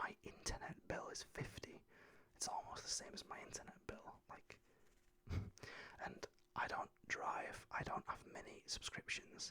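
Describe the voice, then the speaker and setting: A man is whispering. He has a British accent. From United Kingdom. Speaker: ASMR creator. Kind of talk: casual talk to camera. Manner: whispered, soft-spoken.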